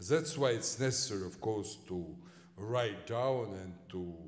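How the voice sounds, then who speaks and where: Delivered at a fairly slow pace with a Russian accent, the voice shows ordinary pitch variation and big swings in loudness, with audible room echo. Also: man. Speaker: historian. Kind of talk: lecture Q&A. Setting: lecture hall with audience. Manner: halting, many fillers.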